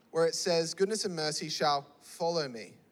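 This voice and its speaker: Animated in tone, a man talks with an Australian accent. His intonation is lively and his pace fairly slow. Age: 20s. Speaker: youth pastor. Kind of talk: sermon. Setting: church with live audience.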